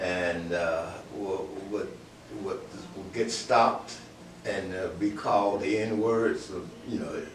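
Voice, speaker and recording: Delivered at a very slow pace with long, frequent pauses and fairly even intonation, the speech carries audible room echo and noticeable background noise. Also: man, fairly low pitch for a man. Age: 80s+. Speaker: blues musician. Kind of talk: interview. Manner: halting.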